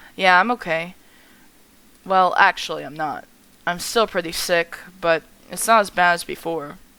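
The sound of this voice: Using a put-on character voice, a woman sounds raspy at a fairly low pitch, keeping fairly even intonation at a moderate pace with long, frequent pauses and big swings in loudness.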